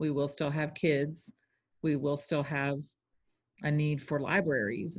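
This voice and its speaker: Speaking at a fairly slow pace with a Texan accent, a woman has a very deep, low voice over a quiet background. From Texas. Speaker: educator and literacy consultant. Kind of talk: interview.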